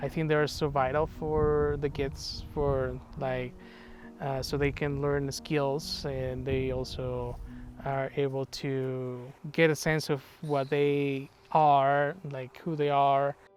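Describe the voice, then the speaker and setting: With music playing behind him, a man with a Spanish accent talks very slowly in a fairly high pitch and a flat, monotone intonation. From Guatemala. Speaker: data analytics consultant and parent. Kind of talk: documentary interview. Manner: hesitant, many fillers.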